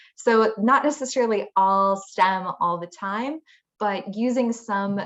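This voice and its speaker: A woman speaks with a slight Minnesota accent. Her pitch varies in an ordinary way. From Minnesota, US. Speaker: engineer on a women in STEM panel. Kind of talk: panel discussion. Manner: halting, many fillers.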